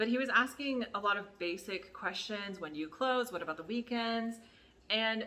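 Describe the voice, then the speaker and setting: A woman with an American accent and a plain, everyday voice speaks at a moderate pace, her fairly high pitch carrying lively intonation. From United States. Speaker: YouTuber, former adult store worker. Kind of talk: story time. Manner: casual, filler-heavy.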